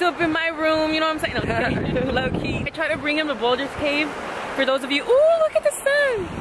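A woman talks very fast with ordinary pitch variation, the sound dry with no echo and the background noise loud. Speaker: vlogger. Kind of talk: casual vlog chat. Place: open country. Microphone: phone near.

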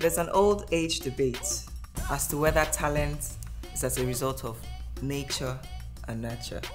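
Against clear music in the background, a woman speaks at a moderate pace with long, frequent pauses. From Nigeria. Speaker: nurse, pilot, content creator. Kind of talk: personal story podcast. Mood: warm, reflective storytelling. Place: home room.

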